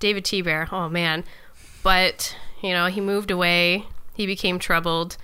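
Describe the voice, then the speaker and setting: This woman's tone is bright and sharp, at medium pitch. Her intonation is flat and monotone, and her pace is moderate. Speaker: podcast co-host. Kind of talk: casual chat. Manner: laughing, light-hearted.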